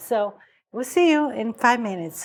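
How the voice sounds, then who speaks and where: A woman with a Romanian accent speaks at a moderate pace in a high pitch. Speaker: cooking show host. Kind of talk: cooking tutorial.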